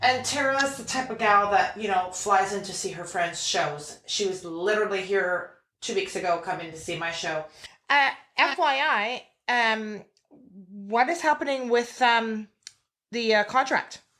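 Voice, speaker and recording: A woman speaks loudly at a fairly slow pace, her medium-pitched voice bright and sharp, with an animated tone and lively intonation. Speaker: podcast host. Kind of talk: casual chat.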